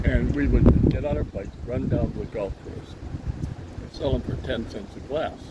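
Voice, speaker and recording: A man speaks at a moderate pace in a very deep, low pitch with very wide pitch swings. Noticeable background noise and audible room echo fill the recording. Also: big swings in loudness. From Canada, Vancouver. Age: 80s+. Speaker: storyteller father, guest taste tester. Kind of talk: casual chat.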